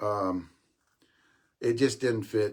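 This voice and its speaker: With ordinary pitch variation, this man's voice sounds somewhat breathy. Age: 60s. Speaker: senior softball podcast host. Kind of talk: casual live-stream talk. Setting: live stream. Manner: fast, stammering repetitions.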